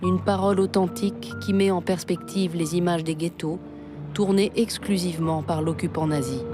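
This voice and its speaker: Music plays in the background while a woman speaks in a serious tone. Her voice is fairly low, with ordinary pitch variation and very even loudness. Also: moderate pace. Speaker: documentary narrator (voice-over). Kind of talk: documentary narration. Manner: serious, measured.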